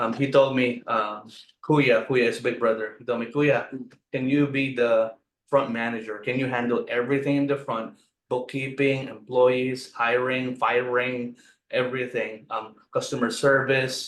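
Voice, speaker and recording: Flat and monotone in intonation, a man's medium-pitched voice moves at a moderate pace. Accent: Filipino. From Philippines. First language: Filipino. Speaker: restaurant owner. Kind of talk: interview.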